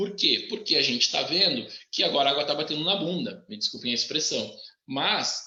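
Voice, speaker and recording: A man at a fairly high pitch with very wide pitch swings, a moderate pace and audible room echo. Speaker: engineering professor. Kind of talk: live webinar talk. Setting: live stream. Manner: animated.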